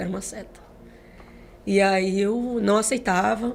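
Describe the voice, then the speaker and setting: A woman with a medium pitch speaks at a very slow pace and in a fairly even intonation, with audible room echo and music playing in the background. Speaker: gospel singer. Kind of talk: testimony.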